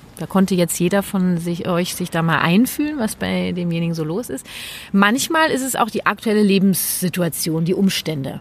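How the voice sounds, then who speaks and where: This woman talks at a moderate pace with ordinary pitch variation and a medium pitch. Noticeable background noise is present. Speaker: parenting coach and nonviolent communication trainer. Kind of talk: casual chat.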